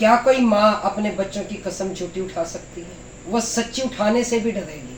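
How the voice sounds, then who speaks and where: A woman's mid-range voice carries a noticeable room echo, with background noise easy to hear. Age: adult, mother of three. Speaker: village vlogger. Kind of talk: response video.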